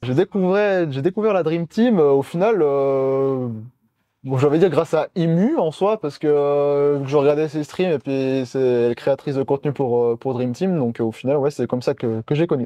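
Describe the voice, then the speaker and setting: A dark, mellow tone with ordinary pitch variation, in a dry, close sound with no echo and a quiet background. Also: man, fairly high pitch for a man, moderate pace. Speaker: esports co-caster. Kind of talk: interview.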